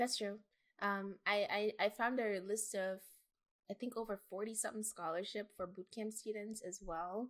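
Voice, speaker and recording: Speaking at a fairly slow pace, a woman keeps a medium pitch with monotone, flat intonation. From Jamaica. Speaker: podcast host, software engineer. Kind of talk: casual chat.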